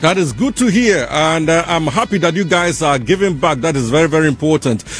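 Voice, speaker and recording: Music plays in the background as a man talks at a fairly quick pace. His pitch is fairly high and his loudness very even. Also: lively intonation. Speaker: radio DJ. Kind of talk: radio interview.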